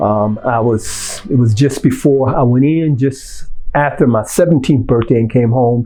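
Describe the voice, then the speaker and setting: At a fairly slow pace, a man speaks at medium pitch with ordinary pitch variation. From Detroit, Michigan (US Midwest). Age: 60s. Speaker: formerly incarcerated juvenile lifer. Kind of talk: personal testimony interview. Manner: halting, many filler ums.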